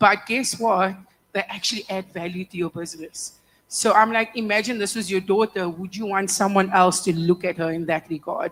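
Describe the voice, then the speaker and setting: Her intonation fairly even, a woman with an ordinary speaking voice and medium pitch speaks at a moderate pace. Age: 30s. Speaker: panelist. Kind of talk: panel discussion.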